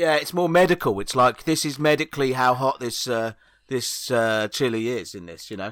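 With an English accent, a man speaks at a moderate pace and with lively intonation. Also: medium pitch for a man, big swings in loudness. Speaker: comedian. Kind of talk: casual chat. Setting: remote recording, own microphone.

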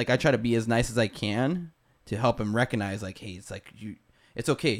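A man talks at a medium pitch and a fairly quick pace. He has a plain, everyday voice. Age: 30s. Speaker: podcast host and skydiver. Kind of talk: casual chat.

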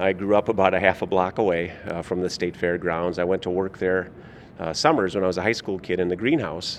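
With an Upper Midwest US accent, a man speaks at a very deep, low pitch. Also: fairly even intonation, fairly quick pace. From Minnesota, St. Paul. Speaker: state fair general manager. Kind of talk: interview. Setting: convention booth.

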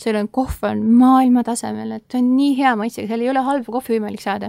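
Over a silent background on a very clean recording, a woman speaks at a fairly high pitch with a dark, mellow tone. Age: young. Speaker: former exchange volunteer in Costa Rica. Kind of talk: interview. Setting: studio.

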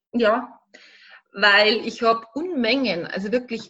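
A woman with a fairly high pitch talks very slowly, her pitch varying in an ordinary way. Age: 40s. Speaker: life coach. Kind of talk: interview.

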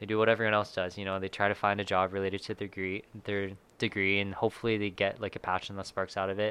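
A man with a fairly low pitch speaks at a very fast pace in a monotone, flat intonation. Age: 20s. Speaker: serial entrepreneur. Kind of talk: casual chat.

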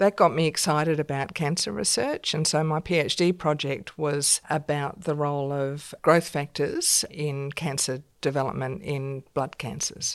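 A woman with an Australian accent speaks at a fairly slow pace in a very deep, low pitch, with fairly even intonation and hardly any pauses. The recording is very clean, with a silent background. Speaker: science professor and dean. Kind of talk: interview.

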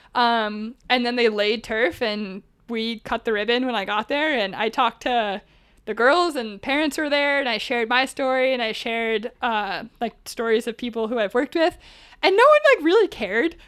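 A woman with an American accent, a high pitch and an animated tone, in a very clean recording with a silent background. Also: ordinary pitch variation, moderate pace. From US Northeast. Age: 20s. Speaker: adaptive climbing program founder. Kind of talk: interview.

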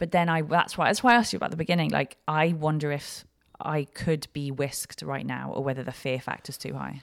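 Speaking fairly quickly in an English accent, a woman uses a very deep, low voice with ordinary pitch variation. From West London, England. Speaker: comedian. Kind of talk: casual chat. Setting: live recording.

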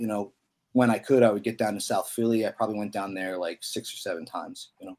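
A man speaks in a fairly low pitch with a slightly mellow tone. His intonation stays fairly even.

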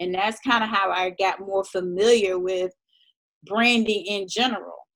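Delivered at a moderate pace with fairly even intonation, this is an unremarkable speaking voice. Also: woman. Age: 30s. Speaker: lifestyle blogger. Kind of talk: casual chat.

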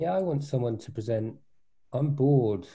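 Dark, mellow and somewhat breathy, a man's voice moves at a fairly quick pace. His intonation is lively, and the background is quiet. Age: 40s. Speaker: venture capitalist and coach. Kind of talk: casual chat. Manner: halting with fillers.

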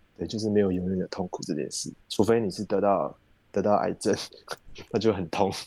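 At a fairly quick pace, a man with a fairly low pitch and a dark, mellow tone keeps his intonation fairly even, leaving long, frequent pauses. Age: 30s. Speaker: podcast host. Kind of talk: casual chat.

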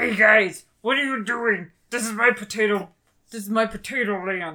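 The speaker uses a put-on character voice with a fairly high pitch. The delivery moves at a fairly slow pace. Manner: confrontational.

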